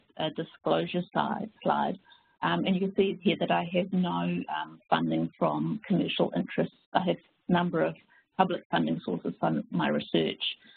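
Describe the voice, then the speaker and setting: The speaker talks at a moderate pace with a slight New Zealand accent. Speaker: family physician and professor. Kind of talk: webinar presentation. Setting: online webinar. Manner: halting, many fillers.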